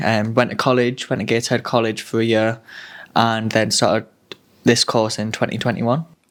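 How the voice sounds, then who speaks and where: In a Sunderland accent, a man speaks at a medium pitch with monotone, flat intonation. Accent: Mackem (Sunderland). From Sunderland, northeast England. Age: 20s. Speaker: student nurse. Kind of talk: casual chat.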